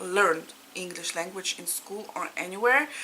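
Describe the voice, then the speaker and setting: Speaking with a Russian accent, a woman talks at a medium pitch and a moderate pace with ordinary pitch variation. Noticeable background noise runs throughout. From Latvia (Riga), Russian-speaking. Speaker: cross-stitch vlogger. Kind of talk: casual chat. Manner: informal, with hesitations.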